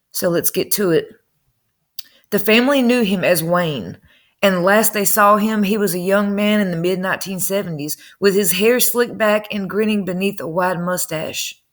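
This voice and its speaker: A woman speaks with a Southern US accent at a medium pitch. Her pace is moderate and her pitch variation ordinary. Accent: country Southern. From North Carolina. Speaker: true crime YouTuber. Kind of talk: casual commentary reading news. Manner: conversational.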